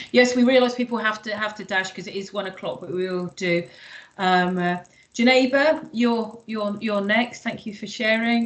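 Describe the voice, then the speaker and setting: A woman talks in an unremarkable speaking voice at a fairly high pitch, with big swings in loudness. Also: ordinary pitch variation, moderate pace. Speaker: workshop facilitator. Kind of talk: online workshop Q&A.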